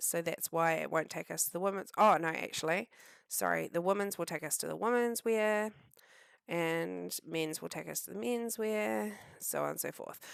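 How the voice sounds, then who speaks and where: In a New Zealand accent, a woman speaks at a moderate pace with lively intonation and a fairly low pitch. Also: dry, close sound with no echo, very clean recording, silent background. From New Zealand, Southland. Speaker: web design tutor. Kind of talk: screen-share tutorial. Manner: casual, hesitant with many ums.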